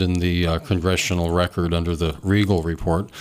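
A man with an American accent talks in a very deep, low voice. His pace is moderate and his intonation fairly even. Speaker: radio talk show host. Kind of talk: call-in talk radio. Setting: radio studio.

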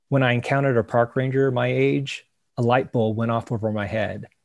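A plain, everyday voice moves at a fairly quick pace with ordinary pitch variation. The recording is very clean against a silent background. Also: man. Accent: American. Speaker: park ranger. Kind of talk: casual chat.

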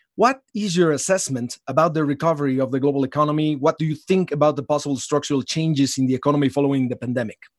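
A man with a Spanish accent talks at a very fast pace in a fairly high pitch with ordinary pitch variation, in a dry, close sound with no echo. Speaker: podcast host, economist. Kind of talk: interview.

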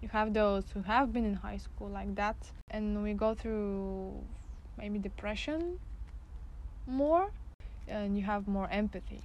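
A fairly slow delivery in a Bulgarian accent, with long, frequent pauses and audible room echo. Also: woman. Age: 20s. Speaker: graphic design student. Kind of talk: casual chat. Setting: outdoors.

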